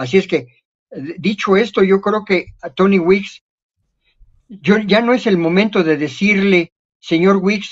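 His pitch variation is ordinary. This man has a high voice. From Mexico. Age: 70s. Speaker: retired boxing referee and judge. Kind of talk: casual chat.

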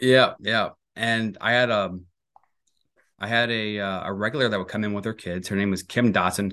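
A fairly low-pitched man with an American accent, at a fairly quick pace. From Missouri. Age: 30s. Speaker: mortgage lender and podcast host. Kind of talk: casual interview.

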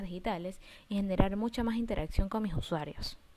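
A woman talks in an ordinary speaking voice at medium pitch. Her pace is fairly quick, and her pitch varies in an ordinary way. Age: 20s. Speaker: makeup artist. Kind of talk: personal pitch monologue.

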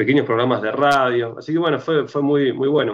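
A man with an Argentine accent and a fairly high pitch. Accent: Rioplatense Argentine Spanish. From Argentina, Rosario. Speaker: punk band musician. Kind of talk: interview conversation.

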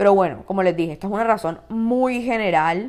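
A woman speaks in an animated tone at a fairly quick pace on a very clean recording with a silent background. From Colombia, Cartagena. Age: 20s. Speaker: podcast host. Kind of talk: casual solo podcast monologue.

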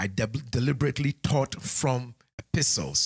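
There's vocal fry in this man's voice as he speaks with lively intonation, recorded dry and close with no echo. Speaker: pastor. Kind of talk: sermon. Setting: church sanctuary with congregation, streamed online. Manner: animated.

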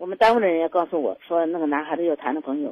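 This woman has an unremarkable speaking voice, fairly low in pitch, with lively intonation. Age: 60s. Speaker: radio call-in caller. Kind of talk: personal story on call-in show. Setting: phone call. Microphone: too quiet at first.

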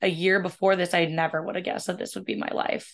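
Against a quiet background, a woman uses an ordinary speaking voice at medium pitch with fairly even intonation. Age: 20s. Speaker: chronic illness patient sharing her story. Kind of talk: interview testimony.

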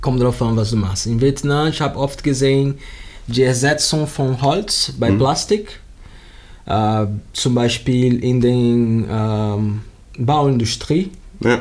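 A man speaks very slowly in a Portuguese accent. His pitch is medium, with ordinary variation. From Brazil, Rio de Janeiro. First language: Portuguese (speaking German). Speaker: yoga teacher and plastic recycling project founder. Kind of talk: interview. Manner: halting, searching for words.

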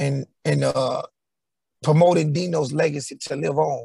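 A man with an American accent speaks in a dry, close sound with no echo. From Houston, Texas. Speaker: singer in R&B group. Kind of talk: interview.

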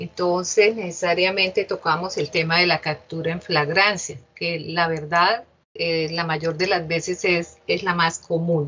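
A woman has an ordinary speaking voice, fairly low in pitch. She talks at a fairly slow pace with fairly even intonation. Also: hardly any pauses. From Colombia, Bucaramanga (Santander). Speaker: judge. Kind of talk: interview. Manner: formal.

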